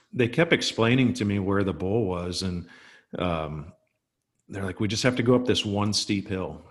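A man speaks in a normal speaking voice at a moderate pace with a fairly low pitch. The background is quiet. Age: 50s. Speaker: fishing podcast co-host. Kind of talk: casual chat.

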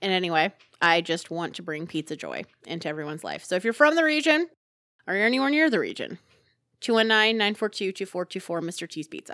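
Speaking at a very fast pace in a Chicago-area accent, the voice has a bright, sharp tone and very wide pitch swings, in a dry, close sound with no echo. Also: woman, medium pitch for a woman, very clean recording, silent background. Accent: Chicago-area Midwestern, noticeable. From northwest Indiana. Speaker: podcast co-host. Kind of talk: casual podcast chat. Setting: home basement recording.

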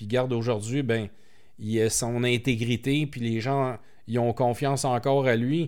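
A man with a plain, everyday voice talks at a medium pitch and fairly slow pace. The recording is very clean, with a silent background. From Quebec, Montreal. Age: 40s. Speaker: entrepreneur. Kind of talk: interview.

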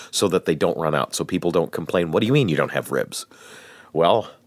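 A man speaks very fast with a very deep, low pitch, vocal fry and lively intonation. The very clean recording has a silent background and a dry, close sound with no echo. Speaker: podcast host.

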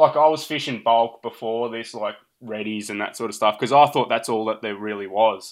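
This man speaks with an Australian accent and ordinary pitch variation. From Australia, central Victoria. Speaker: angler. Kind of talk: casual chat.

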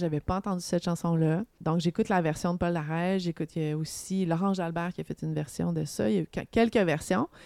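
A woman speaks fairly quickly in a fairly low pitch with a dark, mellow tone and fairly even intonation. The recording is very clean, with a silent background and a dry, close sound with no echo. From Montreal area, Quebec. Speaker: singer-songwriter. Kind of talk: casual interview chat.

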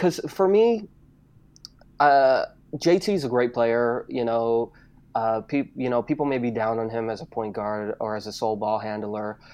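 Male voice of medium pitch, lively in intonation, at a fairly slow pace with long, frequent pauses, over a quiet background. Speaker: esports writer and podcast co-host. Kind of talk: casual podcast discussion. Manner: hesitant, filler words and repeated words.

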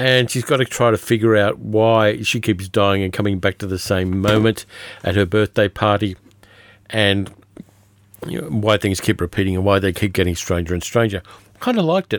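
This man has an Australian accent and a fairly low voice, talking at a moderate pace. The sound is dry and close, with no echo. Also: ordinary pitch variation. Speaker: podcast host, film reviewer. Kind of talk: casual monologue film review.

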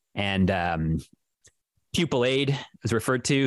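With a normal speaking voice and lively intonation, a man is heard in a dry, close sound with no echo on a very clean recording with a silent background. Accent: Canadian. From Ontario, Canada. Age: 30s. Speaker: radio host and music DJ. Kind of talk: casual interview.

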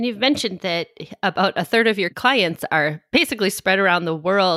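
A woman with an American accent talks at a moderate pace in a plain, everyday voice, with ordinary pitch variation. The recording is very clean with a silent background, and the sound is dry and close with no echo. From United States. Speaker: podcast co-host. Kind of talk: interview.

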